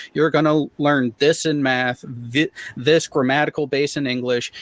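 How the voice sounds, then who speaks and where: A man talks in a normal speaking voice, pitched fairly high, with an American accent. His pace is fairly slow, and the sound is dry and close with no echo. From US, small town. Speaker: conspiracy-debunking panelist, parent. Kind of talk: panel discussion.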